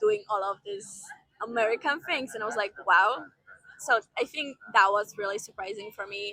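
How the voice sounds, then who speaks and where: With a Polish accent, a woman speaks at a moderate pace in a fairly high pitch, her pitch varying in an ordinary way. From Poland, small city. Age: 20s. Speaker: vlogger, former au pair. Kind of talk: casual Q&A vlog. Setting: outdoors by the seaport. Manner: animated.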